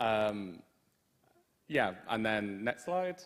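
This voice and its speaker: A man with a British accent speaks at a fairly low pitch. His pitch swings very widely. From Britain. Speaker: student union liaison, guest speaker. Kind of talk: lecture presentation.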